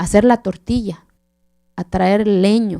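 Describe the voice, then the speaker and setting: A woman speaks with a passionate tone that is dark and mellow. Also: dry, close sound with no echo. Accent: Oaxacan. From Oaxaca mountains, southern Mexico, Zapotec village. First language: Zapotec (speaking Spanish). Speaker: keynote speaker. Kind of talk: keynote lecture. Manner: passionate storytelling.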